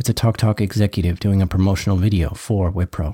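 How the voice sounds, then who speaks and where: A somewhat breathy male voice, dark and mellow in tone and fairly low in pitch, at a fairly quick pace with a dry, close sound and no echo. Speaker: podcast host. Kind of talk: scripted narration.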